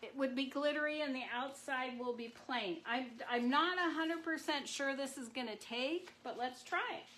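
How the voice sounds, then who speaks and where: Loud and with hardly any pauses, a woman with a high pitch speaks with ordinary pitch variation and audible room echo. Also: moderate pace. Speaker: marbling artist. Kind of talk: live craft demonstration. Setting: livestream at marbling tank.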